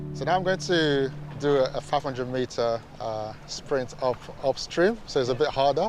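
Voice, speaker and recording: A man's medium-pitched voice at a fairly quick pace, with ordinary pitch variation and noticeable background noise. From Nigeria. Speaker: Paralympic rower. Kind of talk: interview. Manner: repeats words.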